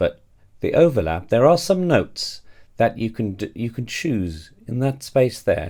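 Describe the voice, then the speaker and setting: Very wide pitch swings run through a man's somewhat breathy, medium-pitched voice, dark and mellow in tone, at a fairly slow pace. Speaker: choir director and singing teacher. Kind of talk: tutorial.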